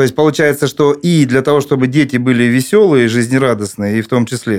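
An unremarkable speaking voice from a man, medium in pitch, moderate in speed, with ordinary pitch movement. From Krasnodar, southern Russia. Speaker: chairman of a parents' public organization. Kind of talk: podcast panel discussion.

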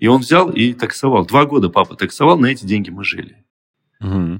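An ordinary speaking voice from a man, fairly low in pitch, moves at a moderate pace with lively intonation. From Azerbaijan, Soviet Union. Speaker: entrepreneur and expert guest. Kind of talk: interview, expert conversation.

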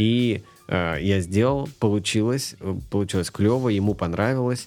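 Music can be heard behind the speaker. He is a man talking at a fairly slow pace. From Moldova and northern Russia (Noyabrsk). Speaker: animator. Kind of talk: casual chat.

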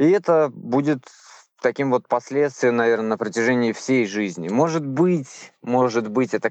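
A man with a medium-pitched voice and ordinary pitch variation speaks against a quiet background. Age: 30s. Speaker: former prisoner. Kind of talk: testimony. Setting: phone call; outdoors.

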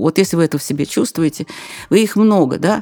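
A woman with a dark, mellow tone and ordinary pitch variation at a fairly quick pace, in a dry, close recording with no echo. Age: old. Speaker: journalist and business trainer. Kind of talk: interview.

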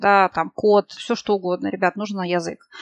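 A woman's medium-pitched voice with fairly even intonation, dry and close with no echo. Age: 30s. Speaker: project manager. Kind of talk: casual chat.

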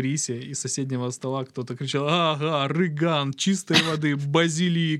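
A man with an unremarkable speaking voice, pitched fairly high. He talks at a moderate pace with fairly even intonation. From southern Russia, Krasnodar region. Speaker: podcast guest. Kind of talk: casual chat. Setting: studio.

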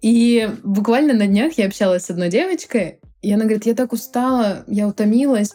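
A woman's dark, mellow voice at a moderate pace, with ordinary pitch variation. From Krasnodar, southern Russia. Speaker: photographer. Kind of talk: casual chat.

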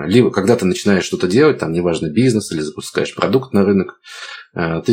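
Here a man is speaking. He goes at a fairly quick pace. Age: 30s. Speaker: entrepreneur. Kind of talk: interview.

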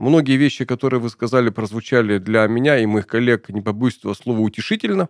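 Words tumble out of a man at a very fast pace. There is no echo, and the sound stays dry and close. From Urals, Russia. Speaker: podcast host. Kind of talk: interview. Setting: studio.

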